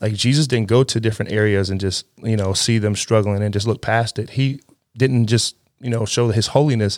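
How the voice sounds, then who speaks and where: The recording is very clean, with a silent background. A man talks in an ordinary speaking voice at a fairly quick pace, with fairly even intonation. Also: medium pitch for a man. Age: 30s. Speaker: youth pastor. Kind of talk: casual chat.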